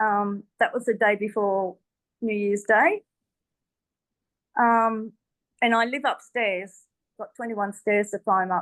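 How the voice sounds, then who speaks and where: Against a quiet background, a woman with an Australian accent speaks at a fairly high pitch and a fairly slow pace, her intonation fairly even and her pauses long and frequent. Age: 60s. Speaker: testimonial speaker. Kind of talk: testimony. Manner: hesitant, many fillers.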